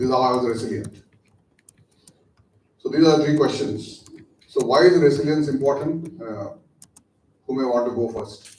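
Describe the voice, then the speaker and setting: Long, frequent pauses break up a man's somewhat breathy, fairly high voice with ordinary pitch variation. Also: moderate pace. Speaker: lecturer, business executive. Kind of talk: lecture.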